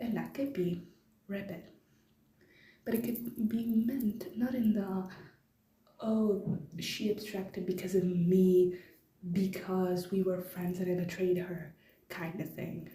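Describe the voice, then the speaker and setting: With long, frequent pauses and a very slow pace, a woman talks at a medium pitch with fairly even intonation, her voice carrying audible room echo. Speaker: fan theory video maker. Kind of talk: casual explainer monologue. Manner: hesitant, many fillers. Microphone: low quality recording.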